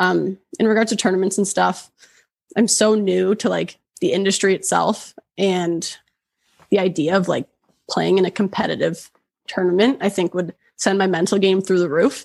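Speaking at a moderate pace with long, frequent pauses, a woman keeps a medium pitch, fairly even intonation, very even loudness and some vocal fry. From Oshawa, Ontario, Canada. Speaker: golf content creator. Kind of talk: casual chat.

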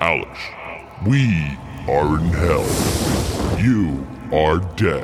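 Over music in the background, a man's voice moves through very wide pitch swings. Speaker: voice actor doing an impression. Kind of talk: comedy skit impression.

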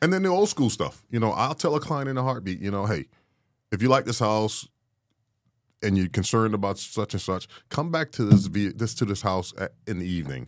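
A man's ordinary speaking voice, fairly low in pitch, at a fairly quick pace with lively intonation, on a very clean recording with a silent background. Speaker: real estate agent, veteran guest. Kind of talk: casual podcast discussion.

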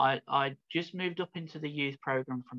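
Bright, sharp tone with a Birmingham accent and a dry, close sound with no echo. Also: man. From England, Birmingham (Midlands). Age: 40s. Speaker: founder of a small church, self-described prophet. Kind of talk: interview testimony.

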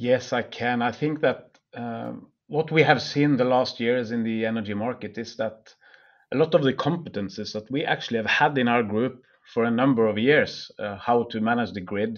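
The speaker talks at a moderate pace in a Norwegian accent, with fairly even intonation. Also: man. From Norway. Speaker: energy company CEO. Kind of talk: interview. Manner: halting.

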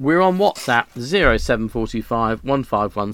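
In a very clean recording with a silent background, a man with a British accent talks with ordinary pitch variation. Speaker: radio host. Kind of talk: radio DJ patter. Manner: relaxed, chatty.

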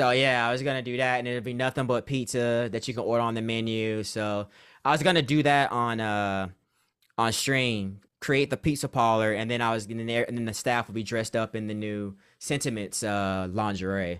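A man with an unremarkable speaking voice talks at a moderate pace with medium pitch and fairly even intonation. The recording is very clean, with a silent background. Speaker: Sims content creator. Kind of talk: casual interview chat.

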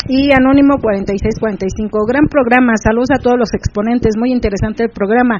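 Noticeable background noise sits behind a woman whose fairly high voice moves at a moderate pace with fairly even intonation. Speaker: radio host. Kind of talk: casual chat.

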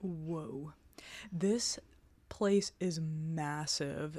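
The voice has a dark, mellow tone and fairly even intonation in a very clean recording with a silent background. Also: woman. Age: 30s. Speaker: true crime podcast co-host. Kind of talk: scripted narration with casual chat.

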